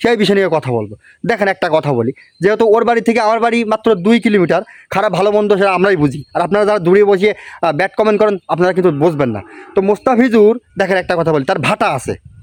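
A high-pitched male voice with ordinary pitch variation and very even loudness, dry and close with no echo. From Bangladesh, Satkhira district. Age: 20s. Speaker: YouTuber. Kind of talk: vlog monologue.

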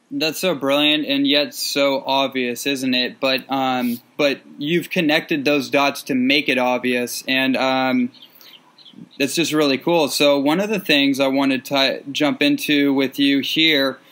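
Here a man has a normal speaking voice and a fairly high pitch. His pace is fairly slow, his intonation fairly even, and his loudness very even. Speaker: podcast host. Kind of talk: casual interview questions.

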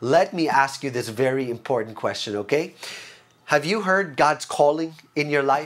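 A man at a moderate pace. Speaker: preacher giving online talk. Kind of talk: sermon. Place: home room. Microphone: lapel.

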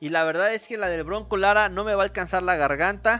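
A man with a high pitch and a bright, sharp tone uses a raised, projected voice at a moderate pace with ordinary pitch variation. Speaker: boxing commentator. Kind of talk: live boxing commentary, blow-by-blow narration of a fight. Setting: home-style stream narrating a fight broadcast. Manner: informal and chatty, speaking directly to viewers. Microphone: studio mic.

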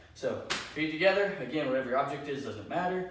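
Background noise is noticeable and room echo is audible. A man's voice comes through both. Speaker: fitness coach. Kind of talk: tutorial. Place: garage.

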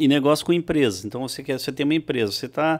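The speaker is a man. He has a fairly high pitch. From Santa Catarina, southern Brazil. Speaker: real estate company founder; podcast guest. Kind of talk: casual interview. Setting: studio. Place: studio. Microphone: studio mic.

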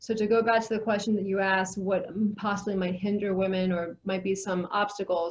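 A woman with an American accent and a somewhat breathy, medium-pitched voice speaks at a moderate pace with fairly even intonation over a quiet background. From US South. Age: 40s. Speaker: real estate professional and educator. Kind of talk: interview. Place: office. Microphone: video call.

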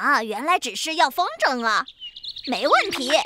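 A cartoonish character voice pitched high. It moves at a moderate pace.

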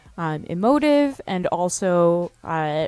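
The recording of a woman is dry, without any echo. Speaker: event host commentator. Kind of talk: commentary. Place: bar.

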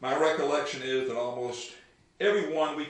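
Lively intonation in plain reading aloud.

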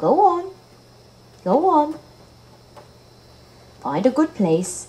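In a cartoonish character voice, a female-sounding speaker talks at a high pitch and a very slow pace. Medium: puppet. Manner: gentle, patient, motherly.

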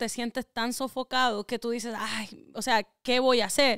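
A woman speaks in a monotone, flat intonation with a Puerto Rican accent, her voice dry with no echo against a quiet background. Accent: sounds Puerto Rican. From US Northeast (Connecticut), Ecuadorian family. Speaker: rapper; podcast guest. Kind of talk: interview. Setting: studio. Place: home room. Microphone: studio mic.

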